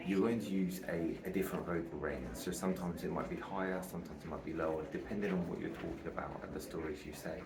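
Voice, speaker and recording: The speech comes very fast with fairly even intonation, alongside noticeable background noise and audible room echo. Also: man, very deep, low pitch for a man. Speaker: aspiring public speaker, vlogger. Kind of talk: casual vlog tutorial. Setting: outdoors on a balcony. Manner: quieter than usual.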